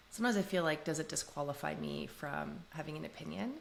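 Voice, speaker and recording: A woman speaks with a very deep, low pitch and vocal fry. She has a Canadian accent. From Canada, Toronto. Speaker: podcast guest. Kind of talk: casual interview chat.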